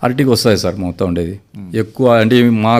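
In a very clean recording with a silent background, a man at medium pitch speaks in an ordinary speaking voice. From Anantapur district, Andhra Pradesh (Rayalaseema). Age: 50s. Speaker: farmer. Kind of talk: radio interview.

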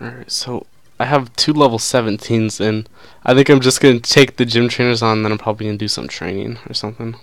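The recording is very clean, with a silent background. A man speaks at a medium pitch and a fairly quick pace. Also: big swings in loudness. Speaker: gaming YouTuber. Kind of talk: casual gaming commentary. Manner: animated, excitable.

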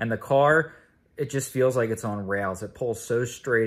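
A man talks at a moderate pace, and his pitch varies in an ordinary way. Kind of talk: casual vlog chat. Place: home room. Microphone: phone near.

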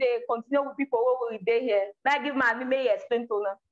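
Against a quiet background, a woman speaks at a fairly quick pace in a raised, projected voice. Her pitch is high with ordinary variation, and her tone is bright and sharp. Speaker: language teacher. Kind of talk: live online lesson. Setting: video call. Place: home room.

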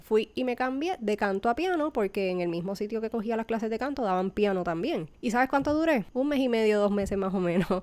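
An ordinary speaking voice at a fairly quick pace, lively intonation and hardly any pauses, in a very clean recording with a silent background. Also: woman, fairly high pitch for a woman. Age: 30s. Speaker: baker and podcast host. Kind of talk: personal testimony.

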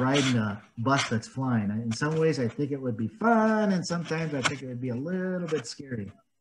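A somewhat breathy man talks at a fairly quick pace with hardly any pauses and very wide pitch swings, over noticeable background noise. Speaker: volunteer story reader. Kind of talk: children's read-aloud with commentary. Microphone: webcam.

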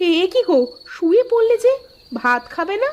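A woman performs a cartoonish character voice at an extremely high pitch. Her pitch swings very widely, and her pace is moderate.

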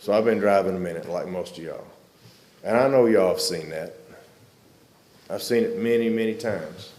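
With a Southern US accent, a man speaks at a fairly quick pace with long, frequent pauses, his voice echoing audibly in the room. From Arkansas. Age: 60s. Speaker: public commenter, military veteran. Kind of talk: public comment at county meeting.

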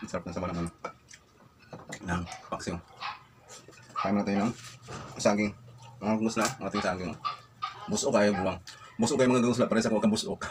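Against noticeable background noise, a man speaks at a fairly quick pace and fairly low pitch, with fairly even intonation and long, frequent pauses. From Visayas, Philippines. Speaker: food vlogger. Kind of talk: casual eating vlog. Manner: mouth full while talking.

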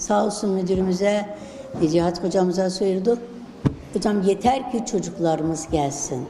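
A woman speaks at a fairly slow pace with ordinary pitch variation. Noticeable background noise and audible room echo surround her. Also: medium pitch for a woman. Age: 70s. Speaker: retired teacher. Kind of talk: interview.

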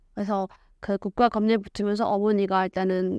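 An ordinary speaking voice moves at a moderate pace. The recording is very clean and dry, with a silent background, a close sound and no echo. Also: woman. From North Korea, Ryanggang Province (Hyesan). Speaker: North Korean defector, lecturer and YouTuber. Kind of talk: interview testimony.

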